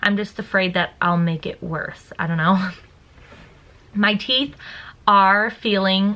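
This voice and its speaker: Her tone is bright and sharp. The woman speaks at a very slow pace with a medium pitch. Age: 20s. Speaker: stay-at-home mother, lifestyle vlogger. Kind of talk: casual talk to camera.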